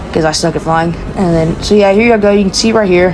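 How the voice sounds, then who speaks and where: The speaker talks at a fairly quick pace with ordinary pitch variation. Noticeable background noise runs under the voice. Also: woman. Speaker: gaming YouTuber. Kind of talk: casual gameplay showcase. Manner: halting, many fillers.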